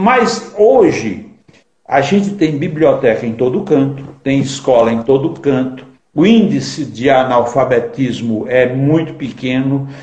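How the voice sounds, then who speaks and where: Somewhat breathy speech at a very slow pace, with lively intonation. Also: man, fairly high pitch for a man. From Ceará sertão, Brazil. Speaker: poet and writer. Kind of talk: interview.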